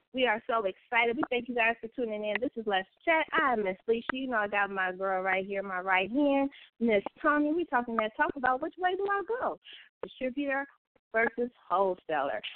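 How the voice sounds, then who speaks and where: Speaking at a fairly quick pace, a woman uses a fairly high pitch with very wide pitch swings. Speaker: radio host. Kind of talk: radio dj patter. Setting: internet radio show.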